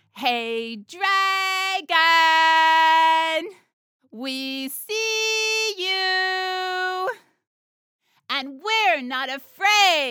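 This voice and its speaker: Loud and shouting, a put-on character voice stretches out at a very slow pace with extremely high pitch. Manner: loud, defiant, shouting.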